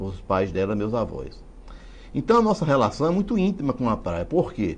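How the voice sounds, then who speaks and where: Fairly high male speech at a moderate pace, marked by vocal fry and very wide pitch swings. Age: 60s. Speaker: writer and genealogist. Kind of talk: interview.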